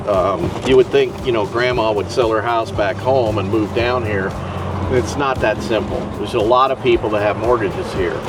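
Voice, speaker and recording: A man's fairly low voice at a moderate pace with ordinary pitch variation, audible room echo and music in the background. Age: 60s. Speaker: resident of retirement community. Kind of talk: casual chat.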